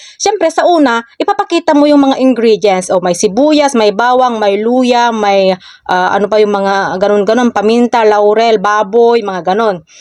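Her fairly high pitch, ordinary pitch variation and moderate pace give this woman an unremarkable speaking voice, with hardly any pauses. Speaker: social media content creator. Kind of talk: casual vlog tips.

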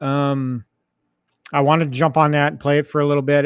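A man with a fairly high pitch speaks at a very fast pace. The sound is dry with no echo, over a quiet background. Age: 50s. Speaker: YouTube gaming channel host. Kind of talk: casual livestream chat. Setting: home arcade livestream with mic. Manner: halting, many fillers. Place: home room. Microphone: studio mic.

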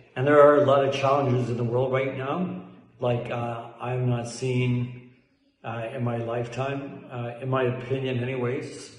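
A man with a Canadian accent speaks at a moderate pace in a flat monotone. Audible room echo surrounds his voice. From Canada and Italy. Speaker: soldier. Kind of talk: recorded video message. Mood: calm, reflective. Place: home room.

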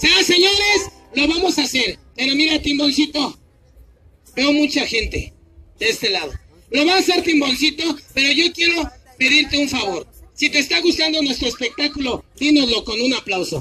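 A man puts on a character voice at an extremely high pitch. He keeps a moderate pace. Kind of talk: street show barker patter. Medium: stage play. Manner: playful, cajoling.

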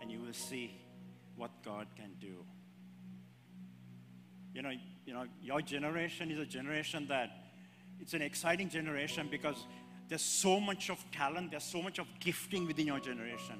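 With clear music in the background, a man talks at a fairly quick pace. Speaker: preacher. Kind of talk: sermon. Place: church. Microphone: handheld.

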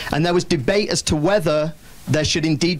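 In a British accent, a man speaks. His pitch is fairly high. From Britain. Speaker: executive director of a building council and professor; executive director of a building council, professor. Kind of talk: press conference. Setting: packed room with audience. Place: meeting room. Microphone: handheld.

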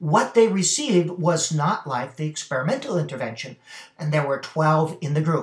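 A man speaks at a moderate pace. The background is quiet, though there is audible room echo. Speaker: reading specialist reviewing a study. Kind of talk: lecture. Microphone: webcam.

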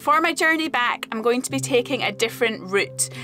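A woman talks over clear background music. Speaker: travel vlogger. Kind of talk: casual vlog chat. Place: car. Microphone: phone near.

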